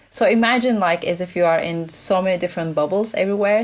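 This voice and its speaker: Fairly quick delivery in a non-native accent, with ordinary pitch variation. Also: woman. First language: not English. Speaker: play expert and futurist consultant. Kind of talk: interview conversation.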